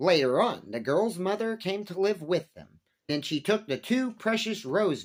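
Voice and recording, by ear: Reading aloud in a natural voice, with lively intonation over a quiet background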